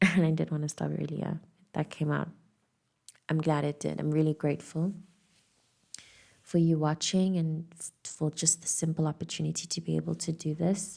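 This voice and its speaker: A woman is whispering, with long, frequent pauses. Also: moderate pace. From South Africa. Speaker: tarot reader. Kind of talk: intuitive channelling.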